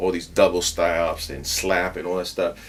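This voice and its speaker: A man with a Puerto Rican accent, very deep and low in pitch, at a moderate pace. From Puerto Rico. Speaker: bass player. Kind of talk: interview. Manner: halting.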